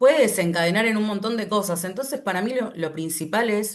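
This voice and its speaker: A woman with an Argentine accent speaks at a moderate pace with lively intonation. The background is quiet. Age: 40s. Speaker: animal rights activist. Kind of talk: online class talk.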